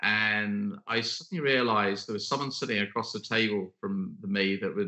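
This man talks in a British accent with lively intonation. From Britain. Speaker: podcast host and leadership consultant. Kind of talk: interview podcast conversation.

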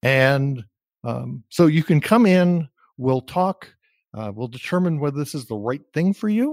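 With an American accent and a normal speaking voice, a man at a fairly high pitch speaks at a fairly slow pace with lively intonation on a very clean recording with a silent background. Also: dry, close sound with no echo. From US Northeast, New Jersey. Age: 60s. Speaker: career coach. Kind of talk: interview. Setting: call.

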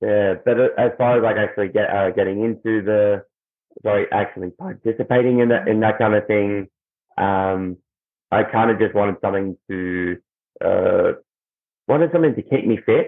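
With an Australian accent, a man talks at a fairly low pitch with ordinary pitch variation. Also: moderate pace, very even loudness. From Australia, Melbourne. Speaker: musician and professional wrestler. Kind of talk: interview. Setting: video call. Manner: halting, many fillers and repetitions.

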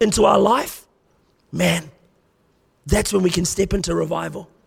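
The man speaks at a moderate pace. He has an Australian accent. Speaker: guest preacher. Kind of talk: sermon. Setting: church. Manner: animated.

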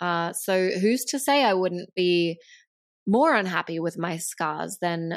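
On a very clean recording against a silent background, a woman of medium pitch talks with ordinary pitch variation, an unremarkable speaking voice. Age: 30s. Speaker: podcast host and health coach. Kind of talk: solo monologue podcast. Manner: casual, conversational.

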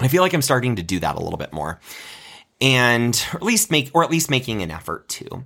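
With an American accent and vocal fry, a man talks at a fairly quick pace in an animated, bright, sharp tone full of very wide pitch swings. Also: medium pitch for a man. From US Midwest, Nebraska. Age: 30s. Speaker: podcast host. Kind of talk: solo storytelling podcast.

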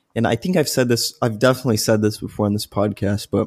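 Recorded very cleanly against a silent background, with a dry, close sound and no echo, a man speaks in a normal speaking voice at medium pitch with fairly even intonation. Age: 20s. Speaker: undergraduate student and podcast co-host. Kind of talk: casual educational discussion.

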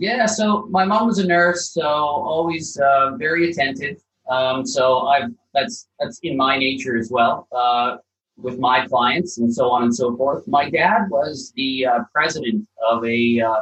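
With a slight Canadian accent, a man speaks at a fairly slow pace in a fairly high pitch, his voice swinging very widely in pitch. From Canada (Calgary, Alberta). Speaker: property developer. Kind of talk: podcast interview. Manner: halting, many fillers.

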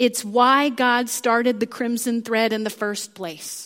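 A woman talks at a fairly slow pace in a plain, everyday voice, fairly high in pitch with ordinary pitch variation. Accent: American. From US Midwest, Kansas. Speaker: preacher. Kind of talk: sermon. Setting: church.

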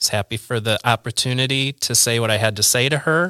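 A bright, sharp tone with a Midwestern US accent and ordinary pitch variation, dry and close with no echo on a very clean recording against a silent background. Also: man. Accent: US Midwest. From Central Illinois, Peoria area. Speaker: church volunteer. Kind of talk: casual chat. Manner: halting.

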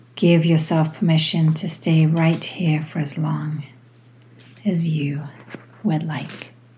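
A soothing, calm tone at a very slow pace, monotone and flat, with long, frequent pauses and noticeable background noise. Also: woman, very deep, low pitch for a woman. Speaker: yoga teacher. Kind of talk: guided meditation. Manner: slow, soothing, calm; gentle, unhurried, with long pauses.

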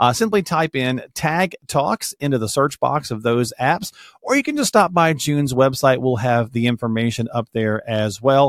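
In an ordinary speaking voice with a fairly high pitch, a man speaks with lively intonation, recorded very cleanly against a silent background with dry, close sound and no echo. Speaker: podcast host. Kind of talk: casual interview chat. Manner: friendly, upbeat.

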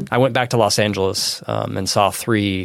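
A man with fairly low pitch and vocal fry, on a very clean recording with a silent background. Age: 40s. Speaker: communication professor. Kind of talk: casual interview.

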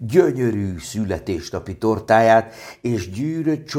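Lively intonation in a natural voice reading aloud

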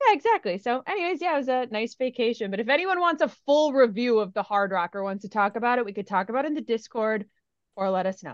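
Talking at a very fast pace, a woman with a fairly high pitch and lively intonation speaks with an Upper Midwest accent. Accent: Upper Midwest American. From US Midwest. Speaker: podcast co-host. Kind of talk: casual chat.

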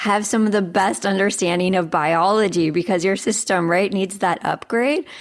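A woman with an unremarkable speaking voice talks at a medium pitch. Her pace is moderate and her pitch varies in an ordinary way. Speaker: nonprofit interviewer. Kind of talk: interview.

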